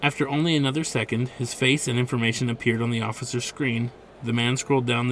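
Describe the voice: Plain reading aloud proceeds with fairly even intonation.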